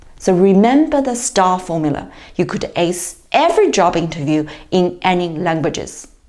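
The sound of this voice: The voice has a slightly mellow tone and big pitch swings. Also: woman, fairly low pitch for a woman, moderate pace.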